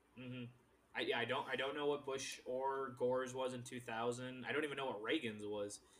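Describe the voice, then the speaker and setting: Speaking fairly quickly in a flat monotone, a man talks over noticeable background noise. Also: medium pitch for a man. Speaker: podcast host.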